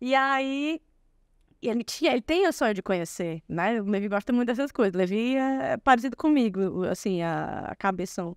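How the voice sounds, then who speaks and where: A woman's fairly high voice moves in very wide pitch swings, with a dry, close sound with no echo on a very clean recording with a silent background. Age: 40s. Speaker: lawyer. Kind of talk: podcast interview. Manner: fast.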